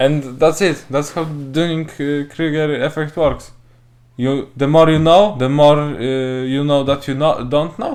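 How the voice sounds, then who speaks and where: A man speaks at a fairly slow pace with a non-native accent. His pitch is fairly high, and his intonation is fairly even. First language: not English. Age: young. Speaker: podcast co-host. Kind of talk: casual chat. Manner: halting.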